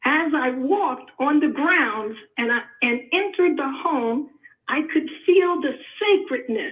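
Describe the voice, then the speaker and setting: A high-pitched woman's voice with an American accent at a fairly slow pace. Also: lively intonation. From New York. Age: 70s. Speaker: caller, family historian. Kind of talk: testimony.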